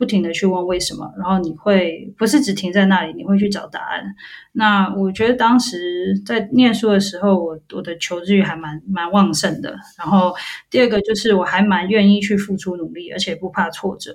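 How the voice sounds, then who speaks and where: A somewhat breathy woman at a medium pitch speaks at a moderate pace, with ordinary pitch variation and big swings in loudness. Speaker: molecular biologist. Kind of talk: interview. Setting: remote call.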